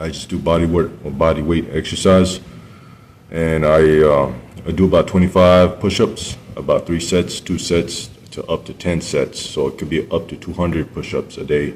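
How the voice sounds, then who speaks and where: Fairly even intonation at a moderate pace. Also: man, very deep, low pitch for a man. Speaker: video blogger. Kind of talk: casual monologue. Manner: halting.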